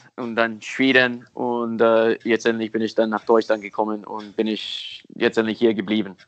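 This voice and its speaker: This is a man speaking. He has an English accent. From US, Miami. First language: English (speaking German). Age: 30s. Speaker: football technique coach. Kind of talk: interview. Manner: halting.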